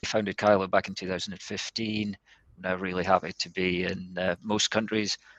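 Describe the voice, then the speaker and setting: Speaking in a Scottish accent, a man uses a fairly low pitch with monotone, flat intonation, the sound dry and close with no echo. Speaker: company co-founder, webinar presenter. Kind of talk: business presentation.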